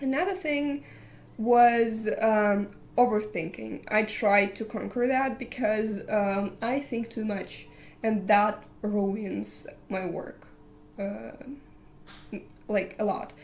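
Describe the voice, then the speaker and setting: A woman with a non-native accent and fairly high pitch, ordinary pitch variation, a very slow pace and long, frequent pauses. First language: not English. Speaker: digital artist. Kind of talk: casual vlog talk. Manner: halting, many fillers.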